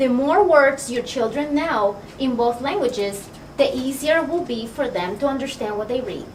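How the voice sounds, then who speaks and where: With a Spanish accent and a high pitch, a woman speaks with hardly any pauses, against noticeable background noise and audible room echo. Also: lively intonation, moderate pace. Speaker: children's librarian. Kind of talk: storytime for children.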